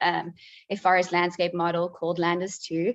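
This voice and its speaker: This woman has a South African accent. Her pitch is medium and her pace moderate. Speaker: PhD candidate, researcher presenting. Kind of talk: conference presentation.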